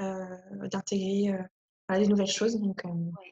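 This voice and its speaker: Her pace is very slow. The woman's intonation stays monotone and flat. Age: 20s. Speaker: speech therapist and lecturer. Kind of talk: interview. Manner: hesitant, many fillers.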